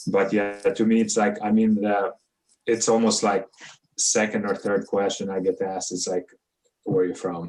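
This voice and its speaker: A man with a non-native accent and fairly low pitch, monotone and flat in intonation, at a moderate pace broken by long, frequent pauses. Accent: noticeable foreign. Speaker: immigrant panelist. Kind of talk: panel discussion.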